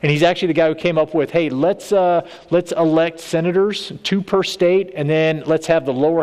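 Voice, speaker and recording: Speaking at a fairly quick pace, a man with a Texan accent has a fairly high pitch. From Texas. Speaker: state legislator. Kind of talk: church talk.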